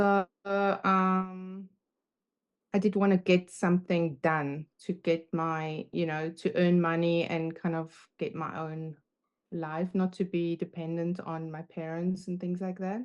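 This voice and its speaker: Against a quiet background, a woman speaks very slowly in a fairly low, monotone voice with flat intonation. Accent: German. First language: German. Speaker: confidence coach. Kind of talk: casual chat. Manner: halting.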